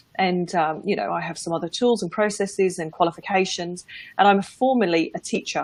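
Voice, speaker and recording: Speaking in an English accent, a woman keeps a medium pitch and fairly even intonation at a fairly quick pace. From England. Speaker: business and life mindset coach. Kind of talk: casual interview on a livestream. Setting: live video broadcast.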